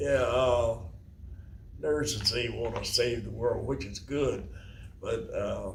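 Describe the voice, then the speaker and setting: A man's very slow speech with long, frequent pauses and audible room echo. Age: 90s. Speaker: elderly father meeting his daughter. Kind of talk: casual family conversation. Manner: halting.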